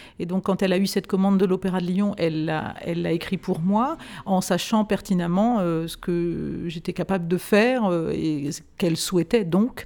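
With hardly any pauses, a woman speaks at a moderate pace and fairly even intonation in a very clean recording with a silent background. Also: medium pitch for a woman. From France. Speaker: classical singer. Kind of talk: interview conversation. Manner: halting.

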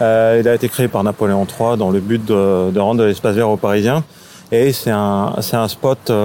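The man has a normal speaking voice at a medium pitch. He talks at a fairly slow pace. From Paris, France. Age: 30s. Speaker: local guide on a city walk. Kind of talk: casual guided walk commentary.

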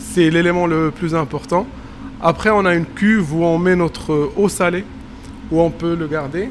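A man at a high pitch, with ordinary pitch variation, a fairly slow pace and long, frequent pauses. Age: 30s. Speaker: postdoctoral researcher. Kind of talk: on-site reportage explanation. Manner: hesitant, many fillers.

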